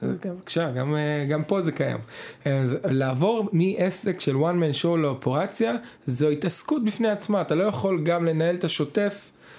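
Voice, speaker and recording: The recording is very clean, with a silent background. The tone is dark and mellow, with ordinary pitch variation at a moderate pace. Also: man. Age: 30s. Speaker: business consultant. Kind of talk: casual chat.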